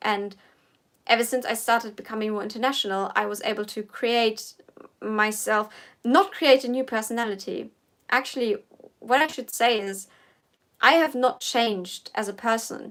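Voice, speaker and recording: A woman with a German accent speaks at a moderate pace and fairly high pitch, with ordinary pitch variation and long, frequent pauses. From Germany. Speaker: political commentator. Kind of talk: casual livestream Q&A. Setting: livestream. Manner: halting.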